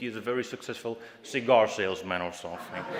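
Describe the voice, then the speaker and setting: Over noticeable background noise, a man with a Flemish accent talks with lively intonation. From Flanders, Belgium. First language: Dutch (Flemish). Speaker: youth party leader, political speaker. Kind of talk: political speech. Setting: stage with audience in a hall. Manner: impassioned, rousing.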